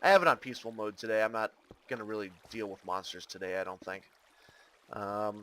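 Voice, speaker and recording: A man speaks at a fairly low pitch in a bright, sharp tone with fairly even intonation. His pauses are long and frequent, and his loudness swings widely. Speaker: gaming video creator. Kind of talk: gameplay commentary. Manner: casual, hesitant with fillers.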